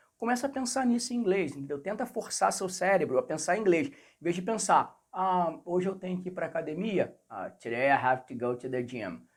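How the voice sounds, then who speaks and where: A man with a Rio de Janeiro accent speaks at a high pitch and a moderate pace with hardly any pauses. His pitch swings very widely and his loudness shifts a lot, on a very clean recording with a silent background. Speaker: English teacher. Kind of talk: tutorial. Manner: animated.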